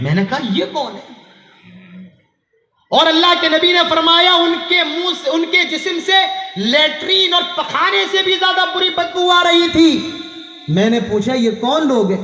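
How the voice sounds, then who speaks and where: A man with an extremely high pitch and lively intonation speaks amid audible room echo. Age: 20s. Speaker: Islamic preacher. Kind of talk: sermon. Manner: animated.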